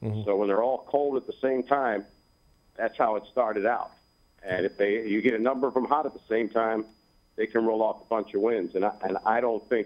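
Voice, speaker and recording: Here is a man with an ordinary speaking voice at medium pitch. He talks at a fairly quick pace with fairly even intonation. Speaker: baseball radio play-by-play announcer. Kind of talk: sports interview answer.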